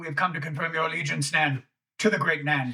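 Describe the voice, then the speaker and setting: Putting on a raspy character voice, a man speaks very fast at a fairly high pitch with fairly even intonation. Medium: actual play. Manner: blunt, fanatical.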